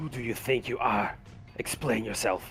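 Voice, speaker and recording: Clear background noise runs behind a man doing a put-on character voice. He speaks at a moderate pace and medium pitch. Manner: commanding, demanding.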